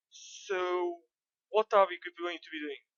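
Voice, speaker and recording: Here a woman speaks with a non-native accent at a medium pitch. Her pitch varies in an ordinary way. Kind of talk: game tutorial commentary.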